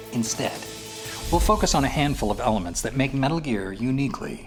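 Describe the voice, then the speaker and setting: Music plays behind a man's fairly high voice. His pitch swings very widely. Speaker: voice actor. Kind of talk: promotional video game narration.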